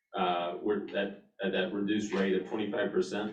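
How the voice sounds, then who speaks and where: A man speaks at a moderate pace in a fairly low pitch, with audible echo in the room. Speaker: water district staff member. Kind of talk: board meeting presentation. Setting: meeting room with online attendees. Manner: halting.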